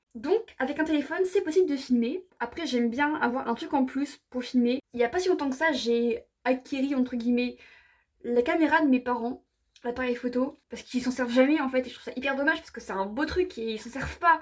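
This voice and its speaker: With big swings in loudness, a woman talks at a fairly quick pace in a high voice that shows ordinary pitch variation. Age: 20s. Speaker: vlogger and writer. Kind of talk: casual tutorial vlog. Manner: fast, sometimes stuttering.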